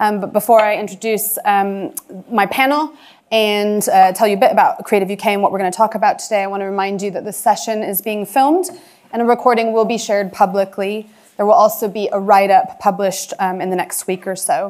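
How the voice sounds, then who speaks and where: The pitch varies in an ordinary way. The background is quiet. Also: woman, fairly quick pace. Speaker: panel chair. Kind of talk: event introduction. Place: hall.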